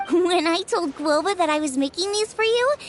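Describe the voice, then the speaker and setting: A put-on character voice sits at an extremely high pitch. Clear background noise runs behind it. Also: moderate pace. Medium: video game. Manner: warm, chatty, earnest.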